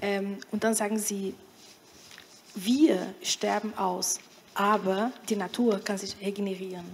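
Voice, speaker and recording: With a Portuguese accent, a woman speaks at a very slow pace with long, frequent pauses. Her intonation is fairly even over light background noise. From Brazil. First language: Portuguese (speaking German). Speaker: panel discussant. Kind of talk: panel discussion. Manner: halting. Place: hall. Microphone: handheld.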